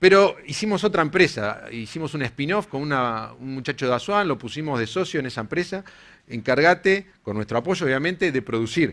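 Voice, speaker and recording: With a Uruguayan accent, a man talks at a fairly quick pace. His pitch is fairly high and his intonation is lively. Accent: Uruguayan Spanish (rioplatense). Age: 40s. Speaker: engineer and company co-founder; conference speaker. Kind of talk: conference talk. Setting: stage with audience. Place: hall. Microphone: headset.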